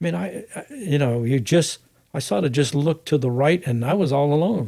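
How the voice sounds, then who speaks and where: Somewhat breathy male speech, dark and mellow in tone. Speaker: private pilot. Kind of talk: interview answer.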